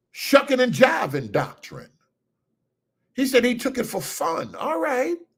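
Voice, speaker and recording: Loud and at a moderate pace, a man is speaking. His intonation is lively. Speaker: livestream host. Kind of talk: casual livestream chat. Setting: hotel room.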